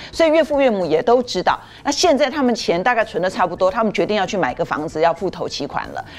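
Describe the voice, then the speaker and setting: Noticeable background noise sits under a woman talking at a very fast pace. Her fairly high voice takes very wide pitch swings. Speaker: media commentator. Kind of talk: TV talk show discussion. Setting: studio.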